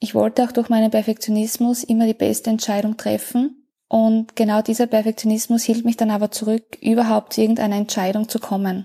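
In a very clean recording with a silent background, a woman with a fairly high, somewhat breathy voice and a dark, mellow tone speaks fairly quickly in a flat monotone, with very even loudness and hardly any pauses. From Austria. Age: 30s. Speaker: coaching client. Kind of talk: testimony.

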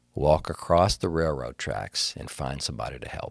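The delivery is fairly slow, with vocal fry. The recording is very clean, with a silent background. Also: man. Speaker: preacher. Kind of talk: casual church podcast discussion. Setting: studio.

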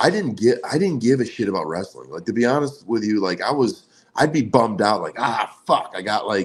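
A man in a plain, everyday voice with an American accent, medium pitch, lively intonation and a fairly quick pace, on a very clean recording with a silent background. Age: 40s. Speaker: former pro wrestler and card collector. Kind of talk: casual interview.

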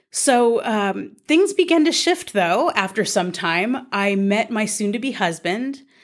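A woman with a Californian accent talks very slowly at a fairly high pitch, with very wide pitch swings and hardly any pauses. The recording is very clean, with a silent background. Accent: Californian American English. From Southern California. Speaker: podcast host and bioethicist. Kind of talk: solo podcast monologue.

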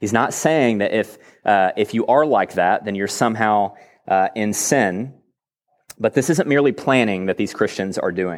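A man with an American accent speaks at a moderate pace in a fairly low voice with ordinary pitch variation. The recording is very clean, with a silent background. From Texas. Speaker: pastor. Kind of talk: sermon. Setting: church.

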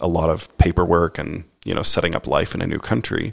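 At a middling tempo, the speaker's voice carries vocal fry. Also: man. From Canada, Saskatchewan then Toronto area. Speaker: missionary. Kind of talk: interview.

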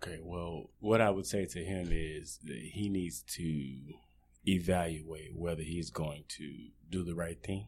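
A man with a very deep, low pitch at a fairly slow pace. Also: ordinary pitch variation. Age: 40s. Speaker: podcast guest. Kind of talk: interview.

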